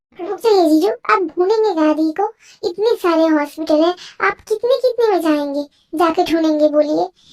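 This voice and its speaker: The speaker uses a put-on character voice and talks at a moderate pace. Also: woman, extremely high pitch for a woman. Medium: fan dub. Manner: chatty, earnest.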